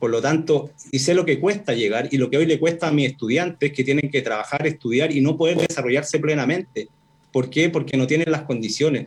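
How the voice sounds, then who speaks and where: A man with a fairly high pitch and a somewhat breathy voice talks at a fairly quick pace, with very even loudness and ordinary pitch variation. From northern Chile, Arica. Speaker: professor and constitutional candidate. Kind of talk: radio interview.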